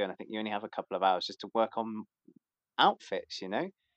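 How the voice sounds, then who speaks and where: A British accent, captured with a dry, close sound and no echo. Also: man. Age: 30s. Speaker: crossdresser. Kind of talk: casual chat.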